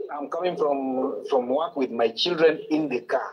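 A man with a slightly mellow tone talks at a moderate pace with ordinary pitch variation. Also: medium pitch for a man.

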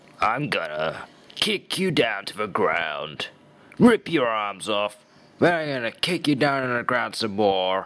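A man puts on a character voice of medium pitch, swinging very widely in pitch at a fairly slow pace.

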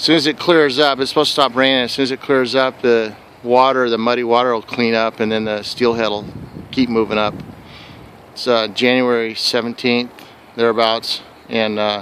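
At a moderate pace and with fairly even intonation, a man speaks in a dry sound with no echo over light background noise. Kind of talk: casual vlog commentary. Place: waterside. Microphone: phone near.

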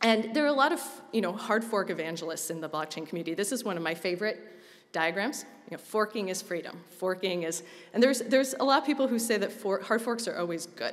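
A woman with lively intonation at a very fast pace. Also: quiet background. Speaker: conference presenter. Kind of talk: lecture. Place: hall. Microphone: podium.

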